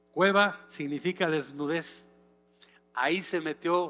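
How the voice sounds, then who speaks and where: A man's high-pitched voice with a bright, sharp tone and ordinary pitch variation at a very slow pace, on a very clean recording with a silent background. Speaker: pastor. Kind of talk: sermon.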